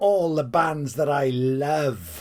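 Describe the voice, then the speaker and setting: A man with a Welsh accent speaks at a very slow pace. The recording is very clean, with a silent background. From Wales. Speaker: music fan vlogger. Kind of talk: casual video monologue. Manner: animated; off-the-cuff.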